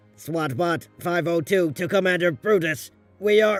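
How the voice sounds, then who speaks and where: Over faint background music, a man uses a high-pitched put-on character voice at a moderate pace. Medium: dub.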